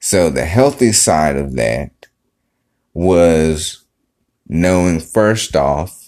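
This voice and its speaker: The man talks in a very deep, low pitch. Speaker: podcaster. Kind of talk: solo podcast monologue. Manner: casual, conversational.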